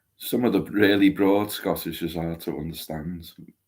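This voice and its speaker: Recorded very cleanly against a silent background, a man with a Liverpool accent speaks at a very deep, low pitch. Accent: Liverpool (Scouse). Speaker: co-host. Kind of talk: casual live-stream chat. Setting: livestream.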